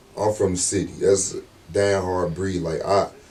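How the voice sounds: A man speaks at a low pitch with little pitch movement and a slightly mellow tone. Audible room echo is present. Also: moderate pace.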